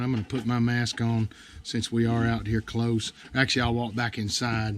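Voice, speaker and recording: In an American accent, a man speaks at a moderate pace and medium pitch with monotone, flat intonation. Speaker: bird bander, conservation staff. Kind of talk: livestream field tutorial. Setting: outdoor livestream, nature reserve. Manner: casual, hesitant with fillers.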